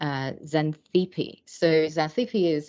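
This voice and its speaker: With a non-native accent and ordinary pitch variation, the speaker talks over a quiet background. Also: woman. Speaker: academic researcher. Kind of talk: lecture. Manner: halting, many fillers.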